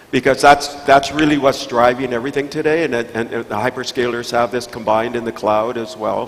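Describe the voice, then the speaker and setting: A man of medium pitch speaks at a fairly quick pace with hardly any pauses and fairly even intonation. Noticeable background noise runs underneath. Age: 70s. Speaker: investor and tech keynote speaker. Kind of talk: panel discussion answer. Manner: halting, repeats words.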